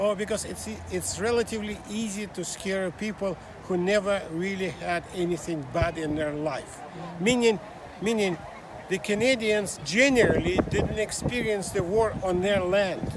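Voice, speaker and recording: Over crowd noise in the background, a man with a Russian accent talks at a moderate pace in a high voice with ordinary pitch variation. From Russia (Soviet Union). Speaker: small business owner, immigrant. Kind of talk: street interview. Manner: halting.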